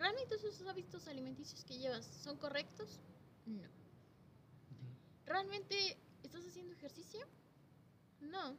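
Speaking with a Mexican accent at a fairly slow pace, a woman's voice shows big swings in loudness. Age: 20s. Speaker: primary school teacher. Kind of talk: casual chat.

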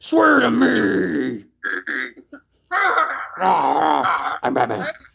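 A man puts on a character voice, keeping his pitch medium. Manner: serious, menacing.

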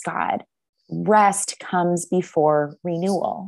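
A woman's voice with ordinary pitch variation. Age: 30s. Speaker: Bible teacher and ministry leader. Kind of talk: interview conversation.

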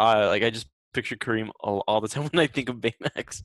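In a very clean recording with a silent background and a dry, close sound with no echo, a man speaks fairly quickly at medium pitch with fairly even intonation in a plain, everyday voice. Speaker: podcast co-host. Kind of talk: casual chat.

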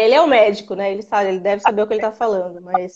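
A woman's fairly high voice at a very fast pace. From interior of São Paulo state, Brazil. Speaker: pregnant caller. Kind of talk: live Q&A call-in.

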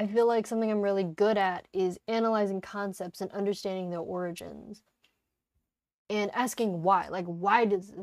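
A woman with an American accent speaks at a medium pitch and a moderate pace, her intonation fairly even. Hers is an unremarkable speaking voice with big swings in loudness, heard in a very clean recording against a silent background. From United States. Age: 20s. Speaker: podcast host. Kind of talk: casual monologue. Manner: casual, laughing often.

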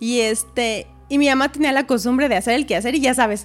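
A woman speaks with a Mexican accent at a fairly high pitch. Her intonation is lively. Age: 30s. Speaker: massage therapist and homemaker. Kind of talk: testimony.

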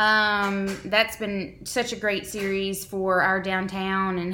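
In a Southern Louisiana accent, a woman speaks at medium pitch with a bright, sharp tone. Her intonation stays flat and monotone, and the room echo is audible. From Southeast Louisiana. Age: 30s. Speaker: podcast co-host, town events organizer. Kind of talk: casual chat. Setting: studio.

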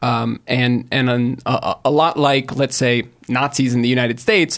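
At a moderate pace, a man uses an ordinary speaking voice at medium pitch. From US, California (Silicon Valley). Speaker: tech startup blogger and brand director. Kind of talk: casual panel discussion.

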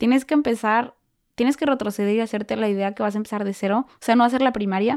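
A woman's fairly high voice in a Mexican accent, dry and close with no echo, on a very clean recording with a silent background. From Mexico. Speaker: au pair. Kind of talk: casual chat. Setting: in person.

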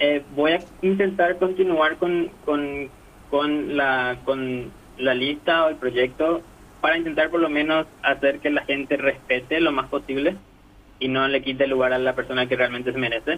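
A man talks at a fairly slow pace in a fairly high pitch, in a normal speaking voice. His loudness is very even and his intonation fairly even. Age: 20s. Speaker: data analyst interviewee. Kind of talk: interview.

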